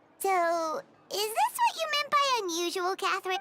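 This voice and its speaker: A woman puts on a squeaky character voice at an extremely high pitch. She keeps a moderate pace, and the sound is dry and close with no echo. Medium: game stream. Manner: casual, lively.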